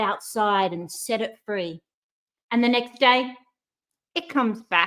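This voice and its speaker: Speaking with an Australian accent, a woman talks at a moderate pace in a high pitch. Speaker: courage coach, speaker. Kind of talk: motivational talk. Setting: online live stream. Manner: animated.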